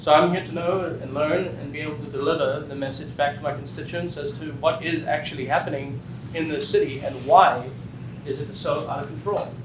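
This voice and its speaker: A fairly high-pitched man with a South African accent, fairly quick and fairly even in intonation, with big swings in loudness, noticeable background noise, and audible room echo. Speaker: state legislator. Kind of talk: panel introduction at a public listening session.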